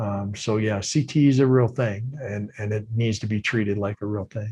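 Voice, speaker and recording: Speaking at a moderate pace in an American accent, a man has a fairly low pitch and a dark, mellow tone. His voice is somewhat breathy, and his intonation stays fairly even. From Minnesota, US Midwest. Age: 60s. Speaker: retired football player. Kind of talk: casual interview.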